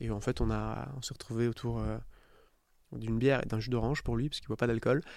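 A man at a very fast pace, broken by long, frequent pauses. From southern France (Istres, near Marseille). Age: 30s. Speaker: startup founder. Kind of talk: interview. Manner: casual.

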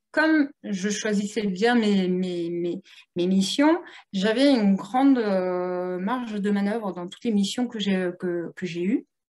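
A woman at a medium pitch, talking at a fairly slow pace. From Italian heritage. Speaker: entrepreneur, platform founder. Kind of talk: interview. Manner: animated.

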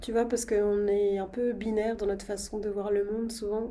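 A dark, mellow tone with monotone, flat intonation at a fairly slow pace, with audible room echo. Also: woman. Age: 20s. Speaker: podcast host. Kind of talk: casual interview conversation.

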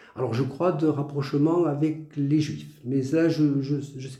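The room echo is audible. A man talks at a medium pitch. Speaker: retired teacher. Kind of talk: testimony interview. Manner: halting, many repetitions.

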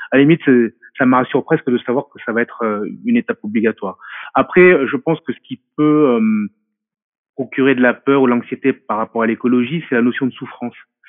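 A man talks at a fairly quick pace with medium pitch and ordinary pitch variation. His speech is broken by long, frequent pauses. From France. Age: 40s. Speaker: martial arts specialist. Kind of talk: interview. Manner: halting.

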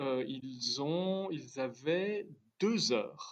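A man with very wide pitch swings, in a dry, close sound with no echo. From Switzerland. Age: 50s. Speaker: watch company founder. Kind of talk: interview.

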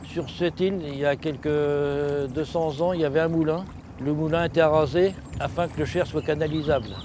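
This man speaks at a moderate pace with a fairly high pitch. His intonation is monotone and flat. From France, Touraine (Véretz). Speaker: boat captain and river guide. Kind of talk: guided tour. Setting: outdoors on a boat on the river.

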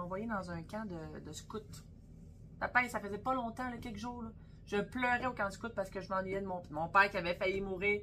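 A plain, everyday voice at a fairly quick pace, with fairly even intonation and big swings in loudness. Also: woman. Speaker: butcher and podcast co-host. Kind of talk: casual chat.

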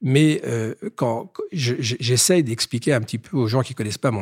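On a very clean recording with a silent background and a dry, close sound free of echo, a man speaks at a moderate pace and medium pitch, somewhat breathy, with ordinary pitch variation. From Paris. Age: 60s. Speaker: business executive. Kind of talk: interview. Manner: halting, repeats words.

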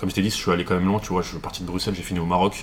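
Noticeable background noise accompanies a man talking at a very fast pace in a very deep, low voice. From Paris, France. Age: 20s. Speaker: digital entrepreneur. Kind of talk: interview conversation.

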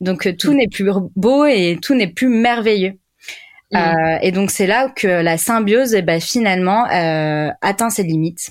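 With lively intonation, the woman talks at a very slow pace. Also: medium pitch for a woman, very even loudness, very clean recording, silent background. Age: 20s. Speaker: clinical psychologist. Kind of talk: casual interview. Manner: hesitant, many fillers.

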